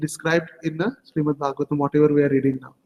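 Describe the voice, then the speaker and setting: Speaking with an Indian accent, a man talks in a fairly high pitch. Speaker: religious teacher. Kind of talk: scripture class.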